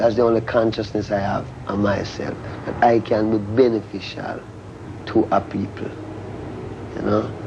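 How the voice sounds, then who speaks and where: Over noticeable background noise, a man with a Jamaican accent speaks at a moderate pace in a fairly low pitch, his intonation monotone and flat, with long, frequent pauses. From rural Jamaica, Saint Ann. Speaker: reggae musician. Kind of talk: TV interview answer.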